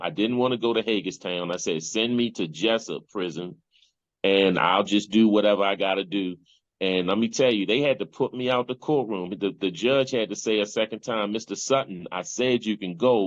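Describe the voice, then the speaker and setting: A man's pitch varies in an ordinary way as he goes at a moderate pace. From Baltimore, Maryland, US. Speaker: motivational speaker and gang intervention specialist. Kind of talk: testimony. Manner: animated storytelling.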